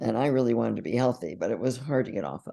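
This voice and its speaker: A woman's very deep, low voice with vocal fry and a dark, mellow tone. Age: 80s+. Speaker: psychologist and inner bonding teacher. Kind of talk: interview.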